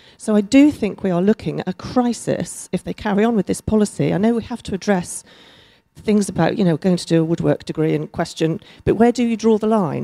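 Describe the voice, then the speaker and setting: A woman speaks fairly quickly in a dark, mellow tone at medium pitch with ordinary pitch variation, on a very clean, dry, close recording with no echo and a silent background. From Chesterfield, England. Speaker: lawyer, audience member. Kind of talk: audience question.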